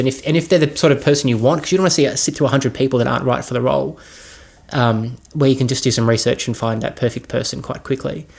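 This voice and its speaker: Speaking with an Australian accent, this man has a medium pitch. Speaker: filmmaker. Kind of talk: casual talk. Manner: hesitant, many fillers.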